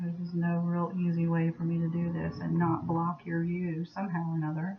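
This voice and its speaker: A woman's fairly low, flat, monotone voice at a fairly quick pace, very even in loudness, over noticeable background noise. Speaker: soapmaking video maker. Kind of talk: tutorial. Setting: at home. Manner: casual, chatty; louder than last time.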